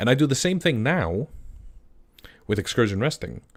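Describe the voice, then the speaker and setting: A man speaks with an Icelandic accent. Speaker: game master streamer. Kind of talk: live stream chat. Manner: halting, many fillers and restarts.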